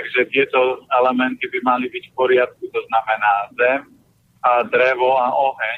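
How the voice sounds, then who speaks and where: A man's loudness swings widely as he talks at a moderate rate. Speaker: nutrition advisor. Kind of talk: advice interview. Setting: phone call from a car. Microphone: poor line, sounds like in a cellar.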